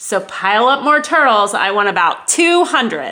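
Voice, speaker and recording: A woman's booming, put-on character voice with a fairly high pitch at a moderate pace. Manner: booming, commanding.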